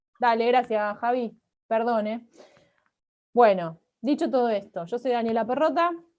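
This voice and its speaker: Pausing long and often, a woman speaks at a moderate pace with fairly high pitch and ordinary pitch variation. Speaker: researcher and political scientist. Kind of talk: academic lecture. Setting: video call.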